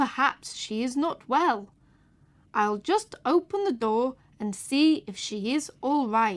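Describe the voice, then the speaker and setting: In a put-on character voice, a woman speaks at a fairly slow pace. Her pitch is high, with very wide swings. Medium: read story.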